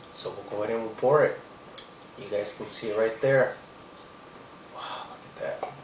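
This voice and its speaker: Audible room echo and noticeable background noise surround a man talking at a moderate pace. He leaves long, frequent pauses and his loudness swings widely. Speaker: beer reviewer. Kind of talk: product review. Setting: home at night. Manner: whispering; hesitant, many fillers.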